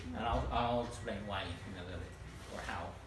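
Man at a moderate pace, with audible room echo and light background noise. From Puerto Rico. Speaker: equine veterinarian. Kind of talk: educational talk to live audience. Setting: outdoors. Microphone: camera far.

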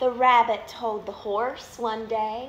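A woman with a Southern US accent and a warm, gentle tone, with light background noise and audible room echo. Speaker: minor league baseball team media relations manager reading stories. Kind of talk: bedtime story reading aloud to children, live online. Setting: live video on social media, at home. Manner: warm, gentle, animated storyteller pace; friendly, upbeat. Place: home room. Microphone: phone near.

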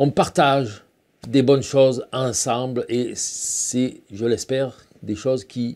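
A man talks with a quiet background behind him. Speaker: painting teacher. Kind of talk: casual intro to a painting demo. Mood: warm, grateful, relaxed. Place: workshop. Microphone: lapel.

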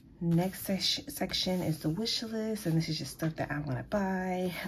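Somewhat breathy, a woman speaks at a moderate pace with ordinary pitch variation over light background noise. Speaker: planner vlogger. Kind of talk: casual talk to camera. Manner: hesitant, many filler ums. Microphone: phone near.

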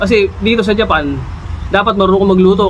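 A man's high-pitched voice at a very fast pace, with noticeable background noise. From Philippines. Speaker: vlogger, overseas Filipino worker. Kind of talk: casual vlog tips. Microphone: no mic, mic battery died.

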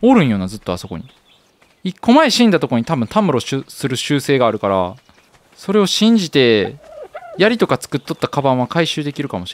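In a Kansai accent, a fairly high-pitched man talks at a fairly quick pace with very wide pitch swings. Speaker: game streamer. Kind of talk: casual gameplay commentary.

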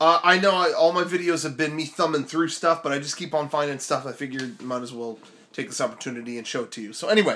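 The voice races at a very fast pace with a bright, sharp tone and ordinary pitch variation. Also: man. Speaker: vlogger. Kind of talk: casual vlog chat. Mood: wistful, joking. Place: home room. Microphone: phone near.

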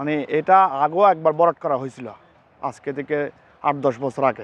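This man's voice sits at a fairly high pitch. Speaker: family graveyard owner. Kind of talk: on-site interview. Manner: halting.

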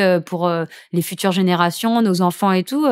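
A woman talks at a moderate pace, her pitch varying in an ordinary way, with a quiet background behind her. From Saint-Martin (Caribbean). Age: 20s. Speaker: professional surfer; podcast guest. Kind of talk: casual chat. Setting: at guest's home. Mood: cheerful, smiling. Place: studio. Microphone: studio mic.

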